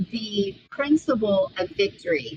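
A woman speaks at a very slow pace in a somewhat breathy voice. Her pitch sits in the middle range, with ordinary variation. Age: 50s. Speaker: author and speaker. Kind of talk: interview.

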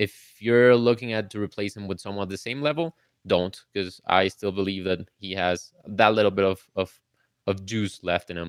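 In a plain, everyday voice, a man speaks at a moderate pace and a fairly low pitch, the sound dry and close with no echo. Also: ordinary pitch variation. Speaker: fantasy football analyst. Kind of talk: live call-in interview, sports analysis. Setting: live online stream with callers.

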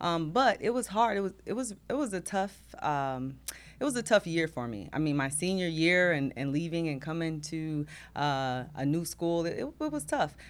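A woman with an American accent has a plain, everyday voice, fairly low in pitch, with lively intonation. She speaks at a moderate pace on a very clean recording with a silent background. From New Jersey, East Orange. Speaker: school district finance chief, former city clerk. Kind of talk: casual interview.

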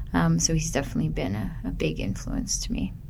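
Someone with a Canadian accent speaks amid audible room echo. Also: woman. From Canada, Ontario (Burlington). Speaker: filmmaker. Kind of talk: interview. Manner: halting with fillers.

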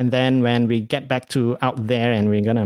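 Recorded very cleanly against a silent background, a man with an American accent talks at a moderate pace and medium pitch, the sound dry and close with no echo. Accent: half Malaysian, half American English. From Malaysia. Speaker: podcast host and stand-up comedian. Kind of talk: casual solo talk with live stream chat. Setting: live stream at home. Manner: casual, hesitant with many fillers.

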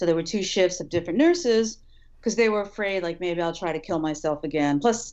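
This woman has a normal speaking voice, a medium pitch and ordinary pitch variation. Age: 50s. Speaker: writer and suicide survivor. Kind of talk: testimony.

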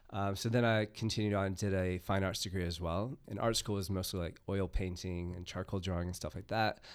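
At a very deep, low pitch, a man talks at a fairly quick pace with fairly even intonation and hardly any pauses. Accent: American. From United States. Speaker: comics creator and festival organiser. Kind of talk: casual interview chat.

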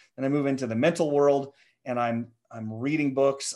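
A man talks at a moderate pace with a fairly high pitch, in a Midwestern American accent. The background is quiet. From US Midwest (central Nebraska). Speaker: founder coach and entrepreneur. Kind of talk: podcast interview.

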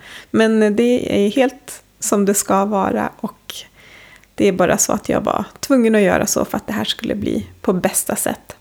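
A woman talks rather slowly while clear background noise carries on behind her. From Sápmi, Sámi. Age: 30s. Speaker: podcast host. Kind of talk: interview; scripted intro. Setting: hotel room.

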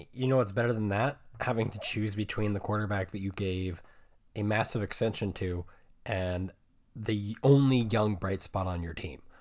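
A man's normal speaking voice, fairly low in pitch, with ordinary pitch variation and a moderate pace, on a very clean recording with a silent background. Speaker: podcast host. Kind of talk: casual sports chat.

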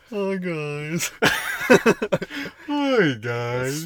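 A put-on character voice at a middle pitch, full of very wide pitch swings. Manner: stoned, sleepy, laid-back.

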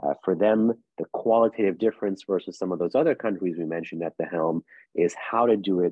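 Speaking at a fairly quick pace, a man with a New York accent uses a very deep, low pitch and ordinary pitch variation. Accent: New York American. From US, New York City. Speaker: think tank policy analyst. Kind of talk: interview.

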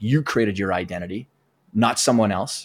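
A man with a Western Canadian accent talks at a fairly quick pace with ordinary pitch variation. The recording is very clean, with a silent background and a dry, close sound with no echo. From Southern Alberta, Canada. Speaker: performance coach. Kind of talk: interview conversation.

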